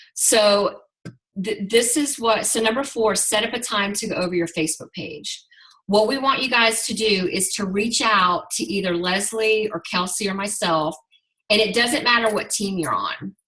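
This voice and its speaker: A woman speaks at a fairly high pitch and a moderate pace. Hers is a normal speaking voice with ordinary pitch variation. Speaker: network marketing team leader. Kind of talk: group video call training.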